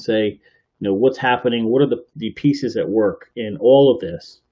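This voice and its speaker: A man with a medium pitch speaks at a moderate pace, using ordinary pitch variation. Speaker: podcast host. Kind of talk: live podcast commentary. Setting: live stream from computer. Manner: soft-spoken.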